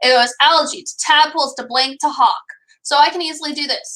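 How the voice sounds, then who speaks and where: A woman projects a raised voice with a bright, sharp tone. She keeps a moderate pace and ordinary pitch variation. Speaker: elementary school teacher. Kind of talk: online class lesson. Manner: animated.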